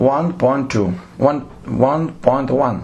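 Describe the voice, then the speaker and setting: In a room with audible echo, a man with a non-native accent speaks at a very slow pace. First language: Lithuanian. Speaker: theatre director. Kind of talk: lecture. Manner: halting.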